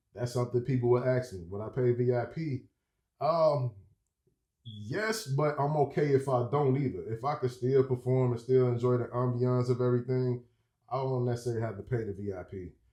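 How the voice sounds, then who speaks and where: At a fairly quick pace, a man speaks in a medium pitch, his tone dark, mellow and somewhat breathy. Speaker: rapper and music video creator. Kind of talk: casual vlog review. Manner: animated.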